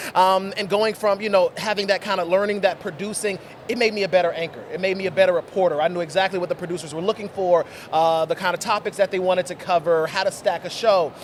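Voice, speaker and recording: A high-pitched man at a very fast pace, fairly even in intonation, over noticeable background noise. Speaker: TV talk show host. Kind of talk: casual interview. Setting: convention floor.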